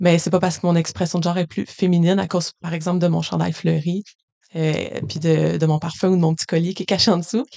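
A woman talks at a very fast pace, her fairly low pitch carried on fairly even intonation. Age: 20s. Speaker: school workshop facilitator. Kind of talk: interview.

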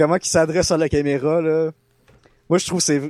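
On a very clean recording with a silent background, a man with a high pitch and a Quebec accent speaks in a dry, close sound with no echo. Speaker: podcast co-host. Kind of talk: casual chat.

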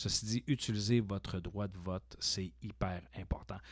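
A man's very deep, low pitch shows ordinary pitch variation, captured in a very clean recording against a silent background. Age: 40s. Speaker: college teacher and podcast host. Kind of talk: casual interview chat.

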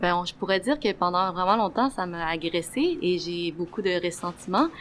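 A woman speaks at a moderate pace. Her voice sits at medium pitch with ordinary variation. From Quebec. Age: 20s. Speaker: community organizer. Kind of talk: casual conversation. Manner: hesitant, many fillers.

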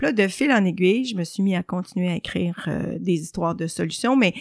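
A woman's medium-pitched voice with vocal fry and ordinary pitch variation, at a moderate pace, in a very clean recording with a silent background and a dry, close sound with no echo. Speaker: journalist and columnist. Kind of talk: interview.

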